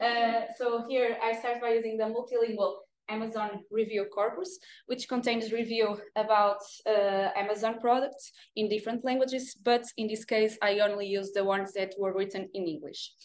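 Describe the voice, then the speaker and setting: Speaking at a moderate pace in a Portuguese accent, a woman uses a fairly high pitch and fairly even intonation, with light background noise behind her. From northern Portugal, Viana do Castelo; northern Portugal. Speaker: data engineer presenting research. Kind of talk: academic presentation. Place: meeting room.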